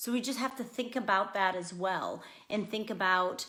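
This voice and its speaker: Loud and at a moderate pace, a woman talks with a bright, sharp tone and ordinary pitch variation. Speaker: school psychologist. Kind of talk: parenting talk.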